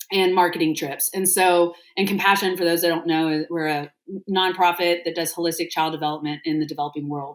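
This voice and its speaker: A woman talks in an American accent, her pitch fairly low. Her pace is fairly quick and her intonation monotone and flat. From Texas. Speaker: restaurant founder and nonprofit artist relations leader. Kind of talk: podcast interview. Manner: casual, many filler words.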